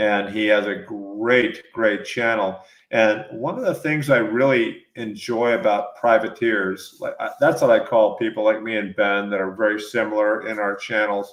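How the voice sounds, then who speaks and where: Speaking at a moderate pace with hardly any pauses, a man uses a normal speaking voice, fairly low pitch and ordinary pitch variation. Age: 60s. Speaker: podcast host interviewing mountain bikers. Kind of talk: casual interview chat.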